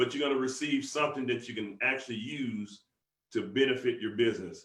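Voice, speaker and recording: A man in a Southern US accent speaks at a fairly quick pace in an animated tone. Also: medium pitch for a man. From US South. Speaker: business motivational speaker. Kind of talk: motivational conference call talk. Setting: conference call. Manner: fast.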